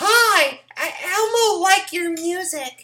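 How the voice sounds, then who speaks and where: A squeaky, put-on character voice squeals at an extremely high pitch. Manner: falsetto, comedic.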